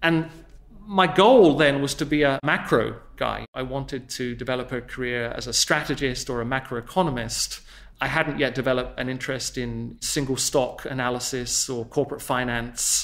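A man with an English accent speaks with ordinary pitch variation and some vocal fry. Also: medium pitch for a man, moderate pace. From southern England. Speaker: investment portfolio manager. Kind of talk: interview. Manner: formal.

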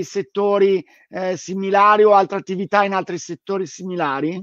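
The recording is dry, with no echo. A man with a high-pitched voice speaks at a moderate pace. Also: quiet background. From Italy, Milan. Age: 40s. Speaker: bookshop owner and live-stream host; live-stream host. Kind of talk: casual interview. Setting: live stream from the bookshop. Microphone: webcam.

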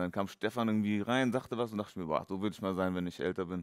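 A man's fairly low-pitched voice at a very fast pace, with fairly even intonation against a quiet background. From western Germany, Dortmund area; western Germany. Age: 30s. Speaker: professional boxer; guest. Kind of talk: casual interview. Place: gym. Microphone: headset.

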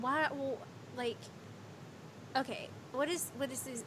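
An animated woman speaks in a high voice. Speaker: streamer. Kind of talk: casual chat. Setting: live stream.

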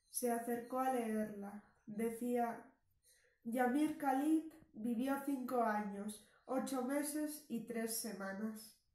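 A woman speaks in a high voice with a dark, mellow tone and fairly even intonation. Audible room echo surrounds her. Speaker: storyteller. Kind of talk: story reading. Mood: calm, reflective narration. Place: home room. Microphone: camera far.

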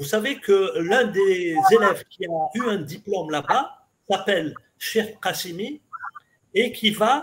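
This man has a high-pitched voice. He speaks at a very slow pace. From Algeria, Kabylie (Béjaïa region). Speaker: mathematics professor and historian. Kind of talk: interview, lecture-style explanation.

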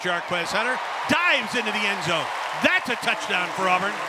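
The voice moves at a moderate pace, with a dry sound with no echo and loud background noise. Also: man. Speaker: football radio commentator. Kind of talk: sports commentary. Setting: stadium game broadcast highlights. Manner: crisp, urgent rhythm with short clipped phrases. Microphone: headset.

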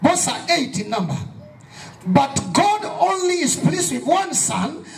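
At a fairly slow pace, a man talks in an animated tone with very wide pitch swings. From Kenya. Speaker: pastor. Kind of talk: fervent evangelistic sermon at a youth rally, call-and-response. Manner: emphatic, repetitive preaching cadence; animated, prompting audience amens.

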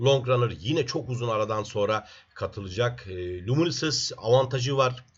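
A man's voice comes through somewhat breathy. He talks at a moderate speed. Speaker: horse racing tipster. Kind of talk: racing predictions monologue. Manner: fillers and hesitations.

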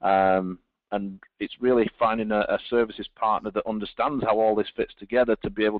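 A man speaks with a British accent at a very fast pace. His fairly low voice stays monotone and flat. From Britain. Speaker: telecom engineering director. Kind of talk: webinar presentation. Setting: online webinar.

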